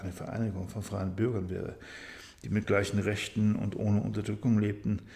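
A man's fairly low-pitched voice with vocal fry. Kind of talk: bedtime story reading.

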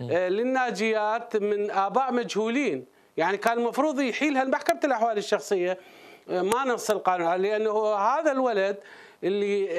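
A man with a high pitch speaks at a moderate pace with ordinary pitch variation. His loudness is very even, and the background is quiet. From Iraq. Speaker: legal expert; guest. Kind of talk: interview. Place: studio. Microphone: lapel.

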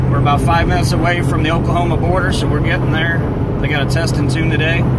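The speech comes at a very fast pace with a dry sound and no echo. Loud background noise is present. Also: man. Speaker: vlogger. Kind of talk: casual vlog chat. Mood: excited, upbeat. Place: car. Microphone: phone near.

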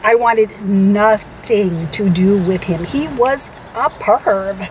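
At a very slow pace, this voice moves with ordinary pitch variation, the sound dry with no echo and light noise behind it. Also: woman. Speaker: co-host telling a story. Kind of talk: casual vlog chat. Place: car. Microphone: phone near.

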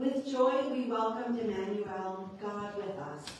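A woman at a fairly slow pace with ordinary pitch variation, in strong room echo over light background noise. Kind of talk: service announcements and liturgical reading. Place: church.

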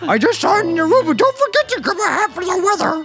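Over music in the background, a woman puts on a croaky character voice at an extremely high pitch and a very fast pace. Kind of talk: let's play commentary, reading game dialogue aloud. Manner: comical.

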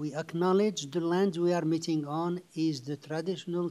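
In a dark, mellow tone, a man speaks with monotone, flat intonation. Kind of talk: formal scripted meeting opening. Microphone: video call.

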